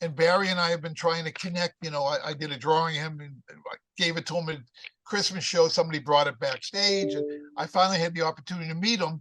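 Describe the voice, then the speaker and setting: A man with a high pitch and ordinary pitch variation rattles through his words at a very fast pace. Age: 70s. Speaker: artist and business owner. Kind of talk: podcast interview. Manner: animated.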